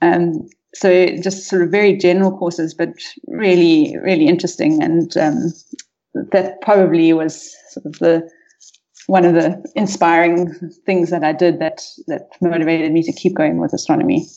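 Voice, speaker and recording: Her voice has a dark, mellow tone and a fairly low pitch. The woman moves at a moderate pace with ordinary pitch variation. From South Africa, North West province. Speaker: astronomer. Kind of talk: interview. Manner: hesitant, many fillers.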